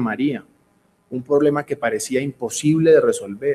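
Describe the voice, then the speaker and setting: This man talks at a moderate pace with a Cali accent. His pitch sits fairly high. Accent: Cali Colombian Spanish. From Colombia, Cali. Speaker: real estate business executive. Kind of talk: conference speech. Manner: formal.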